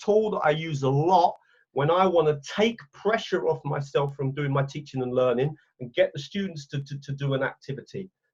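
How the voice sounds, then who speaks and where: This man has an English accent. He speaks with lively intonation. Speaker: teacher trainer. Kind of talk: webinar training. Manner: casual.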